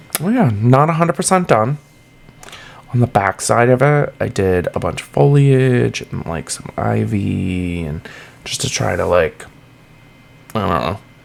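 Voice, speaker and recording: Background noise is noticeable as a man with a Massachusetts accent speaks. He goes at a fairly slow pace with long, frequent pauses. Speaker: gaming YouTuber. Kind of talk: casual gameplay commentary. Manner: casual, lots of fillers.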